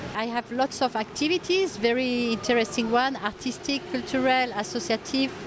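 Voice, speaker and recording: With a French accent, the speaker uses lively intonation and hardly any pauses over noticeable background noise. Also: woman, high pitch for a woman, moderate pace. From France. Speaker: expat volunteer museum guide. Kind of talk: street interview.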